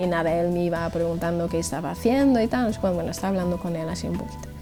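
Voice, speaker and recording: With music in the background, a woman talks in an Irish accent. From Ireland. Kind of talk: interview answer, personal testimony.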